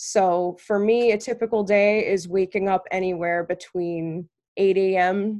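A normal speaking voice from a woman, medium in pitch with fairly even intonation, over a quiet background. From Connecticut, raised by Long Island and New Hampshire parents. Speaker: college student leader. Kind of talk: interview.

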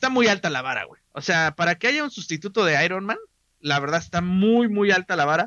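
This man's voice is high-pitched, with lively intonation. He talks at a fairly quick pace. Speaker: podcast host. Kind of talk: casual chat. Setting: live stream.

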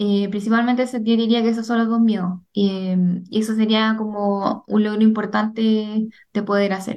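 Here a woman speaks at a fairly high pitch. Her intonation is monotone and flat, at a fairly slow pace. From Chile. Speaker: migraine patient and digital journalist. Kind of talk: testimony.

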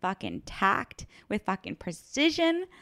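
A woman with an American accent speaks at a fairly slow pace in an ordinary speaking voice, fairly high in pitch, in a very clean recording with a silent background and a dry, close sound with no echo. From California, Orange County. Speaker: security analyst. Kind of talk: casual chat. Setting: home kitchen.

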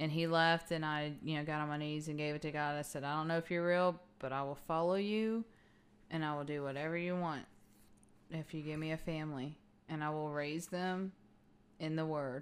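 A woman with a Texan accent speaks at a fairly quick pace. Her very deep, low voice has fairly even intonation. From Texas (Fort Worth/Arlington), Mexican-American. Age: 30s. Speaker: podcast host. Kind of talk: personal testimony.

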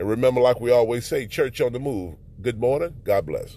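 A man speaks with a dark, mellow tone. His pitch swings very widely. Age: 40s. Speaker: podcast preacher. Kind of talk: sermon. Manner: halting.

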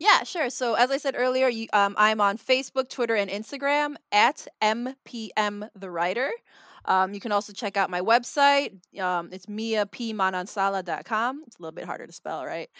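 In a Chicago accent, a woman talks at a moderate pace with a fairly high pitch, ordinary pitch variation and a bright, sharp tone. Her loudness swings widely, and the very clean recording has a silent background and a dry, close sound with no echo. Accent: Chicago American English. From Chicago, US Midwest. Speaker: mystery novelist. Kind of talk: casual interview. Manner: frequent fillers (um, like).

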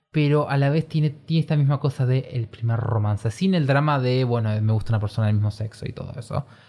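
With hardly any pauses, the speaker talks at a very fast pace. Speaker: podcast co-host. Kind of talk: casual chat. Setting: small bedroom studio. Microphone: new individual microphone.

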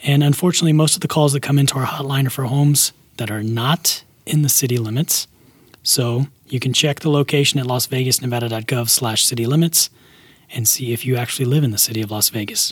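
A man speaks at a very fast pace in a somewhat breathy, medium-pitched voice with ordinary pitch variation and a dry, close sound with no echo. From Alabama. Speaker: podcast co-host for a city government. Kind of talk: casual scripted explainer chat.

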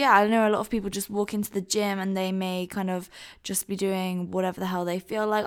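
A woman's medium-pitched voice in a very clean recording with a silent background. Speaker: podcast host and fitness influencer. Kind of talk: casual interview.

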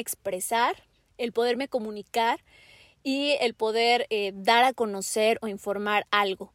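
A woman's unremarkable speaking voice, fairly high in pitch, with ordinary pitch variation. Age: 20s. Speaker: podcast host and journalist. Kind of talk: casual chat.

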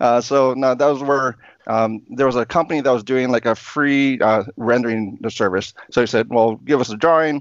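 A man speaks in a medium pitch. His intonation stays fairly even. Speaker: knife YouTuber. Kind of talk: casual chat. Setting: video call. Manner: fast.

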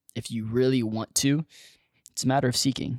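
A man speaks at a fairly quick pace. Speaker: podcast co-host. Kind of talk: casual chat. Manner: playful, animated.

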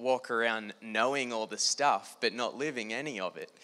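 A man in an Australian accent speaks at a moderate pace, his medium-pitched voice bright and sharp in tone with fairly even intonation. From Australia, New South Wales (Newcastle). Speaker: Bible school student. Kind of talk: testimony talk. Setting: stage with audience.

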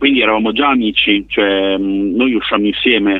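A man speaks at a moderate pace in an unremarkable speaking voice. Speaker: bassist in a band. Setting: phone call.

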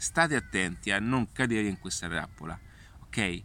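A man's voice with vocal fry at a moderate pace. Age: 40s. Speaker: digital marketing consultant. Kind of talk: casual vlog monologue. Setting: outdoors in a park. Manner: halting, many fillers.

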